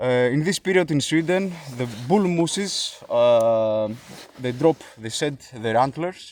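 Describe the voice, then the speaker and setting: A man with a Greek accent, fairly high pitch, lively intonation, a fairly slow pace and long, frequent pauses. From Greece. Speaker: YouTuber, elk park worker. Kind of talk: casual vlog talk. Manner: hesitant, many filler sounds.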